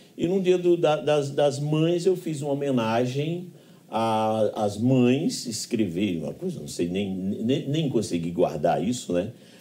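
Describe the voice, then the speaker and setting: A man speaks very slowly in a Paraíba accent, with a dark, mellow tone. His pitch swings very widely. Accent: Northeastern Brazilian (Paraíba). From Pombal, Paraíba backlands, Brazil. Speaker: radio broadcaster and professor. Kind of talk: interview answer.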